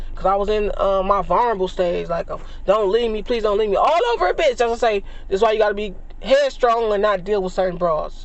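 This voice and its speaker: A high-pitched man at a very fast pace amid noticeable background noise. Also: ordinary pitch variation. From Los Angeles, east side. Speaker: vlogger. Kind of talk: storytelling monologue. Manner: casual, profane.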